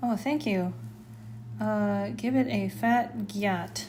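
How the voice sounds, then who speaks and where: At a very slow pace, a soft-spoken woman talks with audible room echo around her. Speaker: artist streaming live sketches. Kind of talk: casual live stream chat while drawing. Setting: art studio, live stream. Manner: soft-spoken, quiet.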